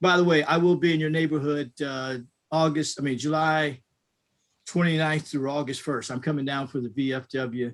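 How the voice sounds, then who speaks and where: Over a silent background in a very clean recording, a man speaks at a fairly high pitch. His pace is moderate and his intonation fairly even. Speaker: business association president. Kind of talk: panel discussion.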